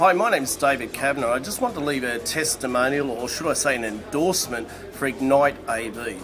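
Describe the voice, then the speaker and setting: A man with an Australian accent talks at a fairly quick pace and a medium pitch, with ordinary pitch variation and hardly any pauses. Music plays in the background, and there is audible room echo. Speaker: public speaker. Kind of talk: testimonial.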